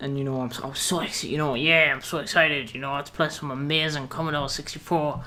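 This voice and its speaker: Monotone, flat intonation marks this man's fairly high-pitched voice, delivered in a British accent. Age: young. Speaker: gameplay YouTuber. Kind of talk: casual gameplay commentary.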